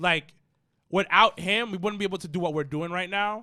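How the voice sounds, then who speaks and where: In a very clean recording with a silent background, a man with a high pitch and a bright, sharp tone speaks at a moderate pace. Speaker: wrestling podcast co-host. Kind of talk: casual chat. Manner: mumbling.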